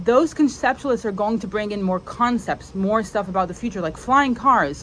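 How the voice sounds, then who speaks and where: Against noticeable background noise, a woman talks at a fairly high pitch with lively intonation. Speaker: spiritual content creator. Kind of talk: solo video monologue. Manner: casual, many fillers.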